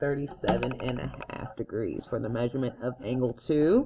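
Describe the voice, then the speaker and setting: A woman's voice at a moderate pace, with big swings in loudness. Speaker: math teacher. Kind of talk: tutorial. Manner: casual.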